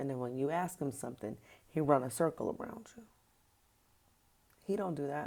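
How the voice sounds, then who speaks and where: The speaker talks at a fairly quick pace with lively intonation, broken up by long, frequent pauses. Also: woman, very deep, low pitch for a woman. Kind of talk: testimony. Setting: early morning. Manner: soft-spoken.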